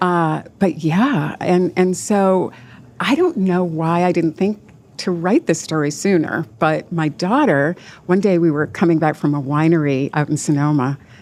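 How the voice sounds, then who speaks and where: A woman talks at a fairly slow pace in a fairly low voice with ordinary pitch variation and very even loudness. Hers is an unremarkable speaking voice. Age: 60s. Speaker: novelist. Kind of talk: interview.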